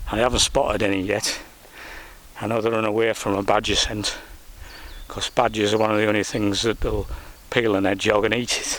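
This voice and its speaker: Fairly quick speech in monotone, flat intonation with long, frequent pauses and noticeable background noise. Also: man. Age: 60s. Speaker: nature vlogger. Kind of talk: casual monologue. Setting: outdoors. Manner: halting.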